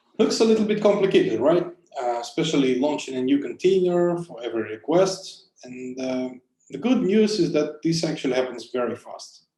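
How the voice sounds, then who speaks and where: Audible room echo surrounds a man with a dark, mellow tone. He talks at a fairly quick pace with lively intonation. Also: big swings in loudness. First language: not English. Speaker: conference speaker, cloud software engineer. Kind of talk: conference talk.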